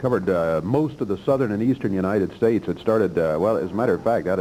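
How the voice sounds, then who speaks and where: The man's voice has a fairly low pitch and ordinary pitch variation. Background noise is noticeable. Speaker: TV wrestling commentator. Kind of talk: live wrestling play-by-play commentary. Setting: TV studio.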